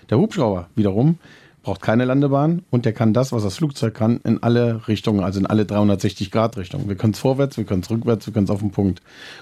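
The tone is dark and mellow, with ordinary pitch variation and a very fast pace against a quiet background. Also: man, medium pitch for a man. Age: 50s. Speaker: helicopter pilot and flight instructor. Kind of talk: casual interview. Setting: inside a helicopter at an airfield.

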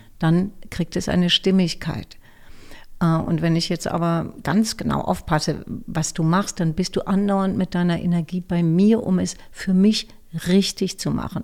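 A woman's plain, everyday voice, fairly low-pitched, at a fairly slow pace with fairly even intonation. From Berlin, Germany. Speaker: voice actor and speech coach. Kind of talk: interview.

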